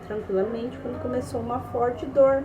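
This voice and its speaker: Speech at a fairly slow pace with ordinary pitch variation comes through audible room echo and noticeable background noise. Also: woman. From interior of São Paulo state, Brazil. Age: 20s. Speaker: fundraiser appealing for surgery help. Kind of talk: personal testimony. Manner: halting, with many fillers.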